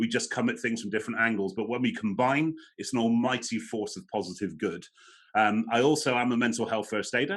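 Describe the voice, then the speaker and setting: Against a quiet background, a man speaks fairly quickly at medium pitch with an English accent. His pitch varies in an ordinary way. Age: 40s. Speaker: motivational speaker on mental health. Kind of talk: webinar talk. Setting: online webinar.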